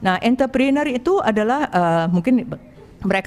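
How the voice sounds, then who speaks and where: Someone with a non-native accent talks at a fairly quick pace with lively intonation. Background noise is noticeable. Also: woman. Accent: non-native Indonesian. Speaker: angel investor. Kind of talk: presentation to an audience. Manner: halting, many fillers.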